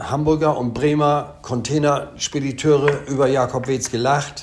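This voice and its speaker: A man with a fairly high pitch, talking at a very slow pace. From East Frisia, northern Germany. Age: 70s. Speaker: haulage company owner. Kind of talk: interview. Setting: video call. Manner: hesitant, many fillers.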